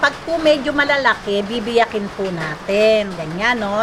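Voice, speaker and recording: Over noticeable background noise, a woman talks at a fairly slow pace in a fairly high pitch with lively intonation. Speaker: cooking vlogger. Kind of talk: cooking tutorial. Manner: polite; loud.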